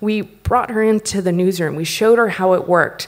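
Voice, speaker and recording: Someone speaks at a moderate pace with an American accent, over a quiet background. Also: woman. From United States. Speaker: company founder and CEO; conference speaker. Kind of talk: conference talk. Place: stage. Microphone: podium.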